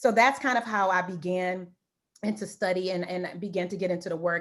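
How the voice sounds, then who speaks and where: A woman speaks at medium pitch and a fairly quick pace. The recording is very clean, with a silent background. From US Midwest, Detroit. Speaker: professor of language and literacy education. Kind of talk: panel discussion.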